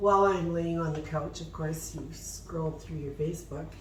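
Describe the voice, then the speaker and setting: There is noticeable background noise and audible room echo as a woman talks. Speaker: DIY furniture painting channel host. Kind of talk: casual chat while painting, tutorial.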